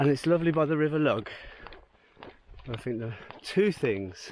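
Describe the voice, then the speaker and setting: A man talks over noticeable background noise. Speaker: travel vlogger. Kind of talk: casual vlog narration. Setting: outdoors.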